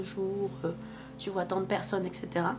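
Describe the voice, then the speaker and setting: With music playing behind her, a woman talks at a fairly slow pace with fairly even intonation. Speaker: vlogger and mother of two. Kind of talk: casual storytelling vlog. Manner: hesitant, many fillers.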